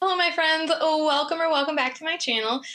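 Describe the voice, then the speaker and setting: Over noticeable background noise, a woman uses a raised, projected voice at a moderate pace. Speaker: booktuber. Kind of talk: casual chat. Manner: chatty.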